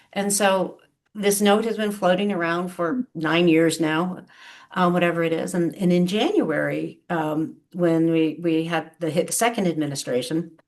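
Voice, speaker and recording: An unremarkable speaking voice from a woman with an American accent, fairly low pitch, ordinary pitch variation and a moderate pace, against a quiet background. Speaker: trade policy expert, diplomat. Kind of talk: public talk. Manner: frequent fillers (um, uh), repetitions.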